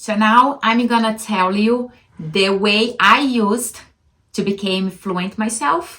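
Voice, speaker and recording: A woman speaks at a very slow pace with a strong non-native accent. Her intonation is fairly even. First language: not English. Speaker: language-learning vlogger. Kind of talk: casual vlog monologue. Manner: halting.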